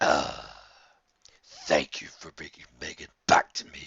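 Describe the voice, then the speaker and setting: A man puts on a raspy character voice and speaks at a fairly slow pace. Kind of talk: read story. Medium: read story. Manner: mocking, menacing.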